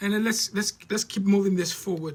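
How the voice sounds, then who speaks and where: A man talks with a high pitch. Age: 60s. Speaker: life coach. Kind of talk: live-streamed talk. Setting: live stream. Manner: halting.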